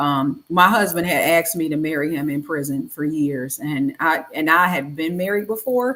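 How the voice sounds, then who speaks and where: With an American accent, a woman speaks at a fairly low pitch. Her tone is bright and sharp, with lively intonation. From Detroit, US Midwest. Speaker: wife of an exonerated former prisoner. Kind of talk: casual chat.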